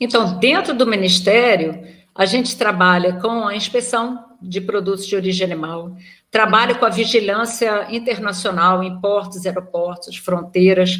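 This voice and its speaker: A woman speaks with a slight Rio de Janeiro accent. Her intonation is fairly even. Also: medium pitch for a woman, moderate pace. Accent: slight carioca. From Rio de Janeiro, Brazil. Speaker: veterinarian and federal agricultural auditor. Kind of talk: interview. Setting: recorded live video call.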